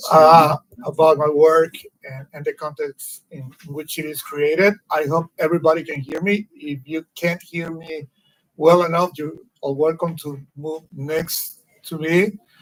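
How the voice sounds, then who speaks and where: A man with a Spanish accent speaks at a fairly slow pace, fairly high in pitch and monotone in intonation. His loudness swings a lot, and the sound is dry and close with no echo. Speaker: political cartoonist, exile. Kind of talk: public lecture. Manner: careful, somewhat halting non-native English.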